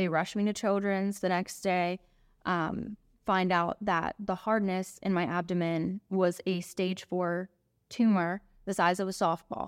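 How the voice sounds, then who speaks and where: On a very clean recording with a silent background, a woman with an American accent speaks at a fairly slow pace and medium pitch. Her loudness stays very even, her intonation fairly even, and the sound is dry and close with no echo. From Pennsylvania, Monongahela area. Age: 20s. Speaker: funeral director. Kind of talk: interview conversation.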